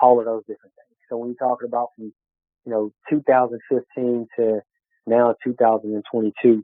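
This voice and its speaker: A man talks at a medium pitch in a strong Southern US accent. His intonation is flat and monotone. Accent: strong country Southern. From Texas, small town. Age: 30s. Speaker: business owner. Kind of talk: interview. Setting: podcast. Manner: draws out words, not fast; halting, many fillers.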